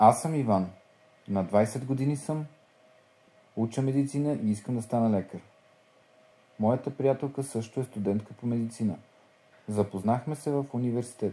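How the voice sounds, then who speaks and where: A man's voice at medium pitch, moderate in pace, with long, frequent pauses and music in the background. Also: ordinary pitch variation. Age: 20s. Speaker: language learning speaker. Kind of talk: scripted reading.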